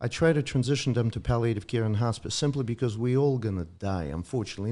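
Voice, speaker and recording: Speaking very fast, a man with a Russian accent uses lively intonation. His medium-pitched voice has a dark, mellow tone. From Ukraine (Soviet Union). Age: 50s. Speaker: doctor. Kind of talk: casual chat.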